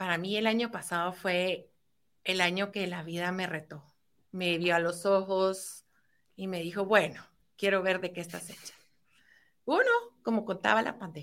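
With a medium pitch, a woman speaks at a fairly slow pace, leaving long, frequent pauses as her loudness swings widely. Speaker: entrepreneur. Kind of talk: interview.

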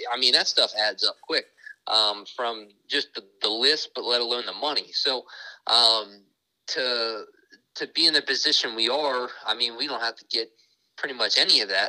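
A man at a moderate pace with big swings in loudness, the sound dry and close with no echo. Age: 20s. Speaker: sprint car racing driver. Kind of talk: casual interview.

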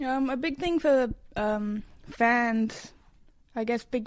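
On a very clean recording with a silent background, a woman with an Australian accent speaks at a fairly high pitch. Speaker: musician. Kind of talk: interview.

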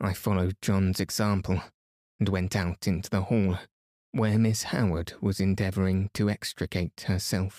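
Behind an unforced reading voice, the background is quiet.

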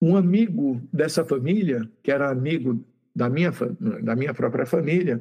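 A man speaks at a fairly high pitch in a dark, mellow tone that is somewhat breathy. His intonation is lively and his pace moderate. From Brazil, São Paulo state (Santos). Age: 60s. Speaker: physicist and YouTube channel host. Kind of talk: interview.

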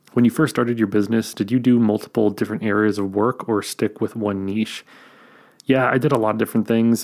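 This quiet man talks at a fairly quick pace in a fairly low pitch. His intonation is flat and monotone, and the recording is very clean with a silent background. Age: 30s. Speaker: YouTuber and filmmaker podcast host. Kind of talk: solo Q&A podcast. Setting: home recording late at night. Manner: hushed, quiet; casual with filler words.

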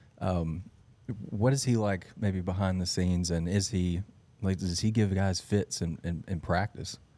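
A man speaks with a very deep, low pitch, a dark, mellow tone and fairly even intonation. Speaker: sports podcast co-host. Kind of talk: casual interview.

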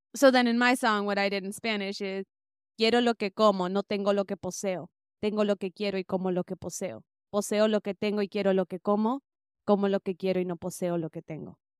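Speaking at a very fast pace with fairly even intonation, a woman with an American accent is heard in a dry, close sound with no echo on a very clean recording with a silent background. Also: medium pitch for a woman. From US, Bay Area, northern California. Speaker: musician and music teacher. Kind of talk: interview.

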